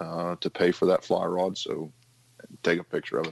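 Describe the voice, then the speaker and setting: A man talks with an Appalachian accent at a moderate pace. The sound is dry and close, without echo. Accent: Appalachian American. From West Virginia. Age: 30s. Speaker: firefighter and fly tier. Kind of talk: interview, fly fishing tutorial.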